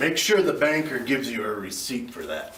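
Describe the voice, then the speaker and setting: A man speaks in a put-on character voice at a fairly quick pace and medium pitch. His loudness swings widely, and clear background noise is present. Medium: comedy sketch. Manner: blunt, terse.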